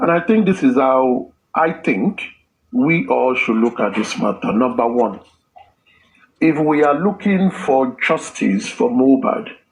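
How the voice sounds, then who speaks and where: A fairly slow delivery with very wide pitch swings and very even loudness. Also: man, fairly high pitch for a man. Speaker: discussion participant. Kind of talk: group discussion.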